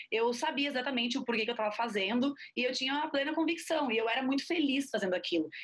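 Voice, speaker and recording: A woman's high-pitched voice, very fast, with lively intonation. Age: 20s. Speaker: physician. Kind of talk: interview conversation.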